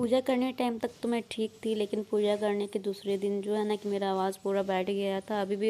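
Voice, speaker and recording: A woman's dark, mellow tone at medium pitch, monotone and flat in intonation, moderate in pace with hardly any pauses. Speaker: housewife vlogger. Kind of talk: vlog narration. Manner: casual, conversational.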